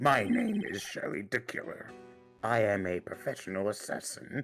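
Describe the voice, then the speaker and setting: Doing a put-on character voice, a man speaks at medium pitch and a moderate pace with faint music in the background. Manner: theatrical, grandly dramatic.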